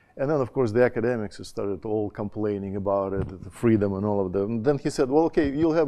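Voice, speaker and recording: Speaking in a Russian accent, a man with a dark, mellow tone and fairly low pitch shows ordinary pitch variation. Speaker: education dean, conference panelist. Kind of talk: conference talk. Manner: hesitant, many fillers and restarts.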